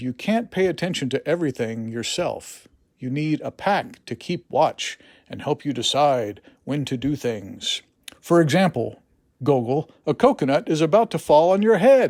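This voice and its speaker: At a moderate pace, a man puts on a gruff character voice with a fairly high pitch, recorded very cleanly against a silent background. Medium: read story.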